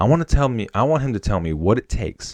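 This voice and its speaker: Full of vocal fry, a man with an American accent speaks at a moderate pace in an animated tone, his pitch swinging very widely. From Wisconsin. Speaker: podcast host, airman. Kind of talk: casual solo podcast monologue. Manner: animated, casual.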